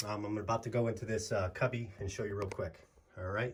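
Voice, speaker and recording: A man talks at a fairly quick pace in a somewhat breathy voice. His pitch shows ordinary variation. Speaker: tech youtuber. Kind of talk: casual tutorial. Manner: casual, informal.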